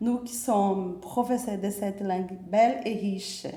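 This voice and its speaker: A woman's somewhat breathy voice at medium pitch, dark and mellow in tone, with ordinary pitch variation and a Portuguese accent. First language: Portuguese (speaking French). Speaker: university French professor. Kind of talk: formal presentation speech. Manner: hesitant with filler pauses.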